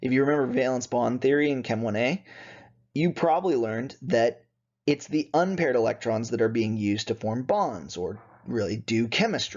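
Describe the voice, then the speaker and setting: A man with a normal speaking voice talks at a medium pitch and moderate pace, his intonation lively. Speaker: chemistry instructor. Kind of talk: lecture.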